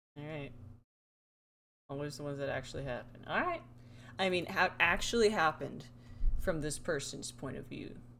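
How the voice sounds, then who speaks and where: With audible room echo, a woman speaks in a very deep, low pitch and a bright, sharp, animated tone, keeping a moderate pace and ordinary pitch variation between long, frequent pauses. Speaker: streamer. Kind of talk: casual live stream chat.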